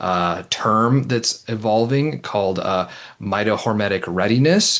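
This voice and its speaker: A man with a slight Minnesota accent speaks at a moderate pace over a quiet background. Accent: slight Midwestern (Minnesota). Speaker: nurse practitioner, researcher. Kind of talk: interview conversation. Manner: hesitant, many fillers.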